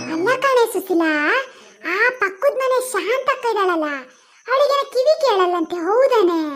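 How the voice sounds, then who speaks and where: Loud and extremely high-pitched, a woman performs a cartoonish character voice. Her intonation is lively. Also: fairly slow pace. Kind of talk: village comedy cartoon. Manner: loud, rambling, mishears and answers off topic.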